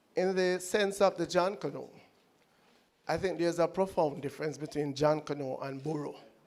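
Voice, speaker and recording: A man with a high pitch, fairly even intonation and a Jamaican accent. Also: moderate pace. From Jamaica, Clarendon. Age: 60s. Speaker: audience member. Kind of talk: audience question at lecture Q&A.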